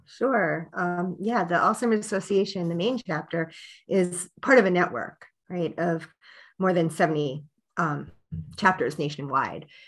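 A woman has an ordinary speaking voice, fairly low in pitch with ordinary pitch variation. She talks at a fairly slow pace against a quiet background. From Pennsylvania. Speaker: nonprofit program director; guest. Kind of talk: interview. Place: home room. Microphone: webcam.

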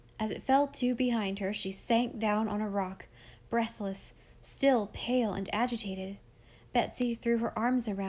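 Out loud and in a natural voice, the words are read.

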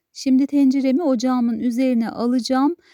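A woman's voice has a high pitch and a dark, mellow tone. Her intonation stays fairly even. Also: dry, close sound with no echo, very clean recording, silent background. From Turkey, Konya. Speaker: cooking channel host. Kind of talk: cooking tutorial.

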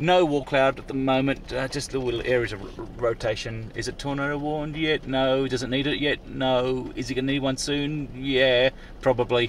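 A man at a medium pitch and moderate pace with fairly even intonation

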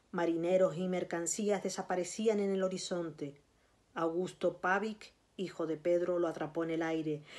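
With a Canarian accent, a woman speaks at a moderate pace in a fairly low voice with monotone, flat intonation. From Canary Islands, Tenerife. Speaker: writer and librarian. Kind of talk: reading aloud of a literary narrative passage, after a casual introduction. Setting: video recording for a virtual recital. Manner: measured, narrative reading with a storytelling cadence; halting, repeating words in the intro. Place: home room. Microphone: phone near.

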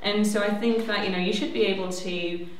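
A woman talks at a fairly quick pace and medium pitch. Audible room echo and light background noise surround her. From northern England, County Durham. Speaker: civil liberties campaigner. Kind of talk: panel debate. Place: hall.

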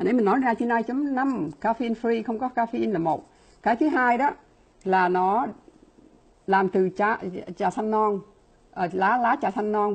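At a fairly quick pace, a woman speaks in a somewhat breathy voice of medium pitch with lively intonation. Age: 60s. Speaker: laboratory scientist and supplement distributor; presenter. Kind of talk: product presentation. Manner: fast talker; filler-heavy, halting. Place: home room. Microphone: earbuds.

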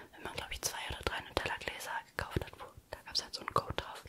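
A woman is whispering. She goes at a very fast pace. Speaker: ASMR creator. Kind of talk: casual ASMR chat about relationships. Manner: whispered. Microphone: studio mic.

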